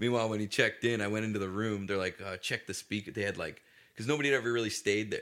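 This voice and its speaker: A man with a Canadian accent at a very fast pace, with fairly even intonation. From Ontario, Canada (Cambridge). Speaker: comedian. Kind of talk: casual chat.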